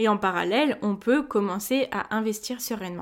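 A woman talks in an ordinary speaking voice at a fairly high pitch, with ordinary pitch variation and a moderate pace. The recording is very clean, with a silent background. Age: 20s. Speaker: podcast host on personal finance. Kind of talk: solo podcast monologue.

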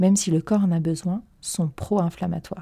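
Her tone is dark and mellow, somewhat breathy, with fairly even intonation. The woman speaks at a moderate pace. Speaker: dietitian podcast host. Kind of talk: scripted narration. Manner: smiling.

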